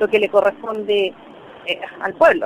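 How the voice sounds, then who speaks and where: A woman keeps a moderate pace while noticeable noise sits in the background. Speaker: trade union representative. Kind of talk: interview statement.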